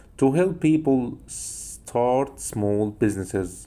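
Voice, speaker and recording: With an Egyptian accent, a man speaks at a medium pitch with lively intonation. His tone is dark and mellow. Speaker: English teacher. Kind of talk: lecture.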